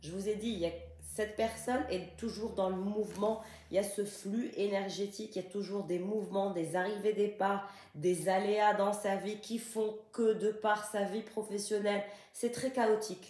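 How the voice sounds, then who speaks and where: A woman's monotone, flat intonation at a fairly slow pace, with noticeable background noise. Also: medium pitch for a woman. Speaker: tarot card reader. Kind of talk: tarot reading.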